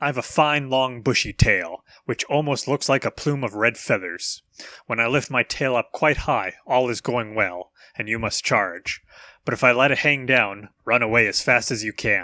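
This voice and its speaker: A man speaks in a put-on character voice at a medium pitch. The recording is very clean, with a silent background. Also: moderate pace. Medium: read story. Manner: sly, self-assured.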